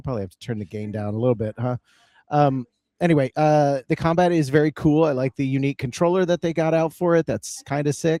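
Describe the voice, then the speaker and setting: On a very clean recording with a silent background and a dry, close sound free of echo, a man speaks very fast in a dark, mellow tone, his fairly high pitch varying in an ordinary way. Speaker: video game podcast co-host. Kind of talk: casual chat. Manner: loud.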